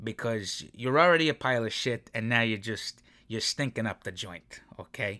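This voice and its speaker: A man at medium pitch with a bright, sharp tone, ordinary pitch variation and a moderate pace, in a dry, close sound with no echo on a very clean recording with a silent background. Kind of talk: angry sports rant. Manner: loud, fired-up, profane and exasperated.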